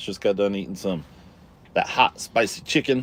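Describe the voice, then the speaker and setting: A man with an American accent talks at a moderate pace in a fairly low pitch, a plain, everyday voice. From Colorado. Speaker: live streamer. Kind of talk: casual live stream chat. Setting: inside a truck camper. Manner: relaxed, casual.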